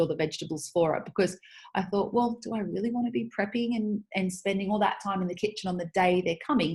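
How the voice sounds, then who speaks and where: Somewhat breathy, a woman speaks at a medium pitch with ordinary pitch variation and a fairly quick pace. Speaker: podcast host. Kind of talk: casual monologue. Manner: fast; animated.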